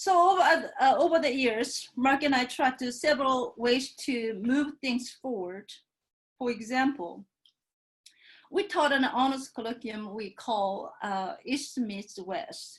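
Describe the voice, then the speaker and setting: A woman with a Korean accent speaks very slowly in a high voice with lively intonation. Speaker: professor. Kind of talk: panel talk.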